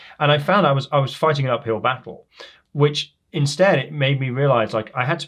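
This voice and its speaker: Talking very fast, a man with a fairly high pitch and ordinary pitch variation sounds somewhat breathy. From England, Leicester. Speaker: professor, criminologist. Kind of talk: podcast interview. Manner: posh-sounding.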